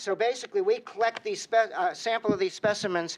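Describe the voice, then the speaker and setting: A man talks at a very fast pace with a Boston accent. His intonation stays fairly even. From Boston, Massachusetts. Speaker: drug research center director. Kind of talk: testimony. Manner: halting, with many fillers.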